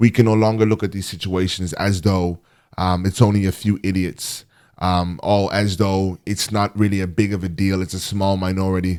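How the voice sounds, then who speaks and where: A man with a very deep, low pitch speaks at a moderate pace in a monotone, flat way, on a very clean recording with a silent background. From Ireland, of African background. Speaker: podcast host. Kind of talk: monologue commentary.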